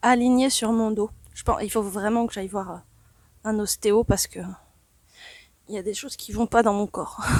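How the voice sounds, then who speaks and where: Soft-spoken and fairly high-pitched, a woman talks at a moderate pace in a monotone, flat intonation, with long, frequent pauses and big swings in loudness. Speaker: spiritual channeler. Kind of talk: channeling session. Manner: calm, meditative.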